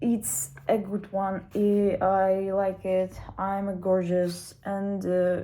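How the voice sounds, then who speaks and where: Very slow and monotone, a woman speaks at a medium pitch with a dark, mellow tone and flat intonation. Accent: Russian. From Russia. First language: Russian. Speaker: language student. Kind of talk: casual video diary. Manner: halting.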